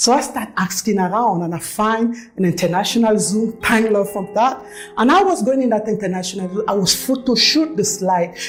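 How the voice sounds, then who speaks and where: Music plays in the background as a woman speaks at a moderate pace. Her pitch is fairly high with ordinary pitch variation. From Cameroon. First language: French. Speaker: network marketing leader. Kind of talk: testimony.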